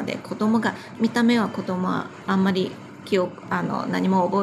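Over noticeable background noise, a woman with a Chinese accent speaks at a moderate pace and with lively intonation. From China. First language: Chinese (speaking Japanese). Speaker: wedding planner and business owner. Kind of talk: casual interview.

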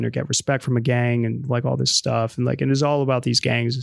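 A man talks very fast in a flat monotone at medium pitch, on a very clean recording with a silent background. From Bronx, New York. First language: Spanish. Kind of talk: casual interview conversation.

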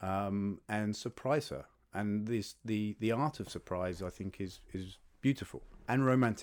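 A man's fairly low voice in a London accent, with ordinary pitch variation, a fairly slow pace and a very clean recording with a silent background. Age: 40s. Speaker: podcast guest on dating. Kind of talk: casual interview. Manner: halting.

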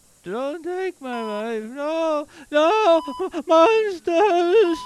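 The pitch is extremely high. The pace is very slow. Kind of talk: audio drama acting.

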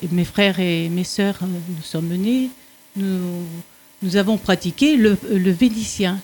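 Speaking at a very slow pace with long, frequent pauses, a woman sounds somewhat breathy and uses ordinary pitch variation. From France. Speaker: retiree, Italian conversation learner. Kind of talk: radio interview.

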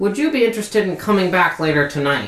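A man puts on a nasal character voice in a high pitch. He talks at a very fast pace with very wide pitch swings. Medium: actual play. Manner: curt, condescending.

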